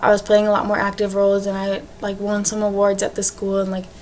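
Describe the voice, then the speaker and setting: A woman talks at a fairly quick pace in a medium pitch, her intonation monotone and flat. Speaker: education student. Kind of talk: class presentation video. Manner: fast; casual, lots of fillers.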